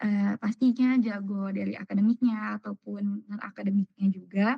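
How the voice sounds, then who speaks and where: At a moderate pace, the somewhat breathy voice stays monotone and flat, dark and mellow in tone, with a dry, close sound and no echo. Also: woman, medium pitch for a woman. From Indonesia, Cirebon. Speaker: new university student. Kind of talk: self-introduction on video call. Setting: video call.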